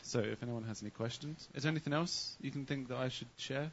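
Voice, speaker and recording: With an English accent, a man speaks at a very fast pace, medium pitch and ordinary pitch variation. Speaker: sound engineer recording the show. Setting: stage. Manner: hard to understand, mumbles.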